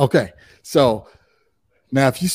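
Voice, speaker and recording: A man with an American accent, a plain, everyday voice, medium pitch and ordinary pitch variation, on a very clean recording with a silent background. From Chicago area, Illinois. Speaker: real estate investor and coach. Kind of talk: interview.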